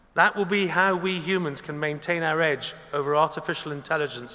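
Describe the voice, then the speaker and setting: A man with an ordinary speaking voice talks at a fairly quick pace and fairly high pitch, with fairly even intonation. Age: 60s. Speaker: graduation ceremony speaker. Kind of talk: commencement speech. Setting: concert hall with audience. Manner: formal.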